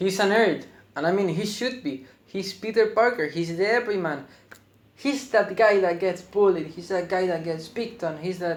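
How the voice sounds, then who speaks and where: A man with a non-native accent has a high voice. He speaks at a moderate pace with ordinary pitch variation. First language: not English. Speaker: film reviewer. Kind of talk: video review. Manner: halting.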